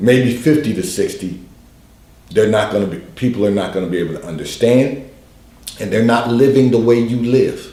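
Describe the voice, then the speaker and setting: Medium-pitched male voice at a moderate pace, with ordinary pitch variation and audible room echo. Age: 60s. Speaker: pastor giving advice on call-in show. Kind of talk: advice broadcast monologue. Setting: livestream broadcast.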